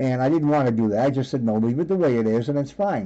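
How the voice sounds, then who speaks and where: Here a man speaks with lively intonation. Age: 60s. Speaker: live streamer. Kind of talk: live stream chat with viewers. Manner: halting.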